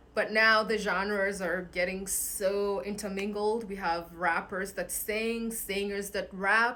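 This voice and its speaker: Amid noticeable background noise and audible room echo, a woman speaks at a very slow pace with hardly any pauses and monotone, flat intonation. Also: medium pitch for a woman. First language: Kikuyu. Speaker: singer-songwriter. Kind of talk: casual vlog talk.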